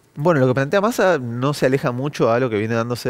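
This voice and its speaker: Very fast speech with ordinary pitch variation over a quiet background. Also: man. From Argentina. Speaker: economist; guest. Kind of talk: news interview. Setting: TV studio. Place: studio. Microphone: headset.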